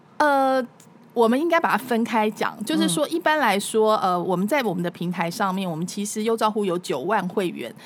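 A woman with a normal speaking voice talks fairly quickly at a fairly high pitch, her intonation lively. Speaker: former TV news anchor and food show host. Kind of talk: casual interview chat.

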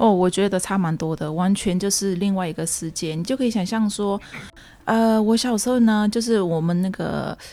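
A woman's fairly quick speech at medium pitch, with ordinary pitch variation and an ordinary speaking voice. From Myanmar, ethnic Chinese of Yunnan descent. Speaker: community association secretary and Burmese language teacher. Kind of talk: interview, personal life story.

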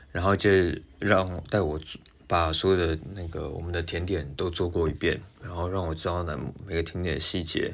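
Very deep, low male speech with fairly even intonation. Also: moderate pace. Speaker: pastry chef and podcast host. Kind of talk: casual monologue.

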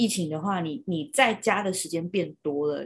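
A somewhat breathy woman's voice, fairly low in pitch, with ordinary pitch variation at a fairly quick pace. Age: 30s. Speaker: podcast co-host. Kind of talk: casual chat.

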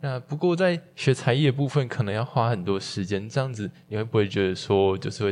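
Using an unremarkable speaking voice, a man moves along at a moderate pace. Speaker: student podcast host. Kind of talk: interview.

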